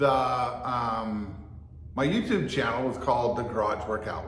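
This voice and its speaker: A man's medium-pitched voice, with ordinary variation in pitch, carries through audible room echo and noticeable background noise. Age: 60s. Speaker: fitness and martial arts vlogger. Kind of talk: casual monologue. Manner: halting.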